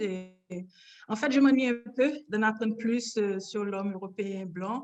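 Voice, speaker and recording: A woman speaks at a moderate pace in an unremarkable speaking voice, fairly high in pitch with ordinary pitch variation. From Haiti, Port-au-Prince. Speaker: painter. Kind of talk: interview.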